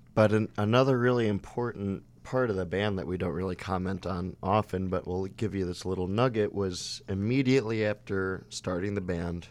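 With an American accent, a man with an unremarkable speaking voice talks at a moderate pace, fairly low pitch and fairly even intonation. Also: very clean recording, silent background. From Chicago. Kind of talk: casual interview chat.

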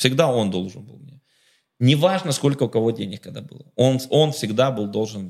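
A man with medium pitch, lively intonation and an animated tone at a fairly quick pace. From Ukraine, Kharkiv. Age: 30s. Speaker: businessman. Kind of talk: casual chat.

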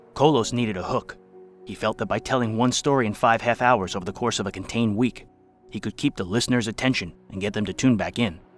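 A man's medium-pitched voice, very fast, with ordinary pitch variation and music in the background. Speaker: podcast narrator. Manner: formal, measured, crisp announcer cadence.

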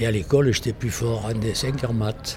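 With a Provençal accent, a man speaks at a fairly slow pace and with fairly even intonation. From Provence, southern France. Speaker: painter and theatre set designer. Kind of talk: interview. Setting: art gallery. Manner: halting.

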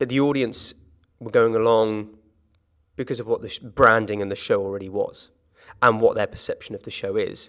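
Speaking with a southern English accent, a man at a medium pitch talks fairly quickly in a flat monotone, broken by long, frequent pauses. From southern England, Hampshire (Gosport). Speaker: musical theatre actor. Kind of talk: interview conversation. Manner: hesitant, many repetitions and fillers.

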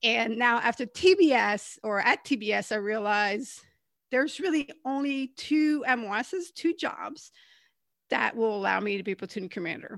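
A woman's normal speaking voice, fairly high in pitch, with lively intonation at a moderate pace, on a very clean recording with a silent background. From Canada. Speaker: former Marine officer and author. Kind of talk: interview conversation.

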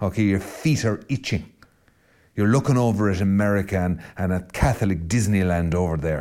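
Dark, mellow tone in a west of Ireland accent, at a fairly quick pace, on a very clean recording with a silent background. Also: man, fairly low pitch for a man, ordinary pitch variation. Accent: Irish west of Ireland, rolling R. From Ireland, County Mayo west coast. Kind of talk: spoken reflection monologue. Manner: animated.

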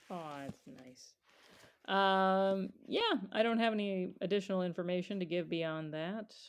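This woman has a medium pitch, ordinary pitch variation and a normal speaking voice. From US, moved to New York then Chicago. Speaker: podcast co-host, children's librarian. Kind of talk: casual chat. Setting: remote recording, not in same room.

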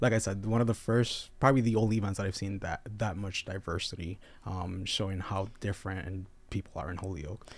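A man with a fairly low, somewhat breathy voice talks at a fairly quick pace with fairly even intonation, recorded very cleanly against a silent background. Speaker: local pride festival organizer. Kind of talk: casual chat. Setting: studio. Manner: mumbling.

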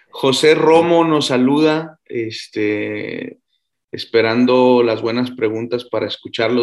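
A man talks very slowly at a medium pitch that varies in an ordinary way. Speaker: physicist hosting a science Q&A show. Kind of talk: casual science Q&A livestream. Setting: video call livestream.

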